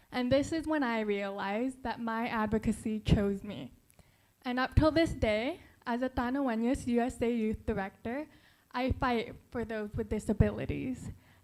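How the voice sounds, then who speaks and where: On a very clean recording with a silent background, a woman speaks with a fairly high pitch, a dark, mellow tone and fairly even intonation. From Philippines, then raised in the US. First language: Tagalog. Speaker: beauty pageant contestant. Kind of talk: prepared speech.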